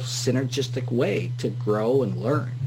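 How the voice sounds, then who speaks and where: Over noticeable background noise and audible room echo, a man at a medium pitch speaks in a monotone, flat intonation. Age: 50s. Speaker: radio host. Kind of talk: interview.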